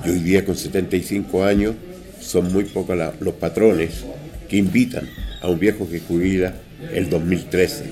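Over music in the background, the speech moves at a very slow pace with ordinary pitch variation and long, frequent pauses. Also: man, very deep, low pitch for a man. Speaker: hotel maître d'. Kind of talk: interview. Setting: mountain hotel, on location.

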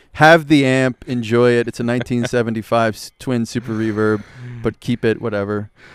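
On a very clean recording with a silent background and a dry, close sound with no echo, a man with an American accent talks at a fairly quick pace in a medium pitch with fairly even intonation, a plain, everyday voice. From US Northeast, Philadelphia. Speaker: musician and entrepreneur. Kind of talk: casual chat. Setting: live recording at a festival.

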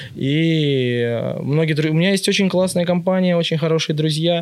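A man with a normal speaking voice, fairly high in pitch, with fairly even intonation. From Russia, Ivanovo region (Yuryevets). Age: 20s. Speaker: vintage shop owner. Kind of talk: casual chat.

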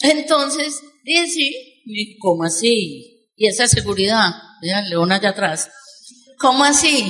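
A woman with a normal speaking voice talks at a fairly slow pace and a fairly high pitch. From Colombia. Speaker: network marketing speaker. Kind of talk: motivational talk. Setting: stage with audience.

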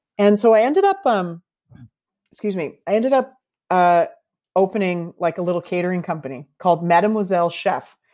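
Long, frequent pauses in a woman's fairly quick speech, medium in pitch with ordinary pitch variation and a dark, mellow tone. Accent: Canadian. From Canada, Toronto. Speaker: bartender and bitters company founder. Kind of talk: interview. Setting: remote call over the internet.

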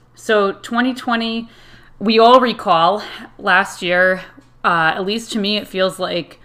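A woman with an American accent talks in a plain, everyday voice with fairly even intonation. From Connecticut, US. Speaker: podcast host and Irish dance teacher. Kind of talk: solo podcast monologue.

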